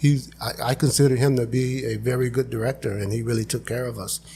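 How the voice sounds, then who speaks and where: A man's somewhat breathy voice at medium pitch, fairly quick in pace, with fairly even intonation. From Imperial Valley, Southern California. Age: 60s. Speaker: candidate for a local utility board. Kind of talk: interview.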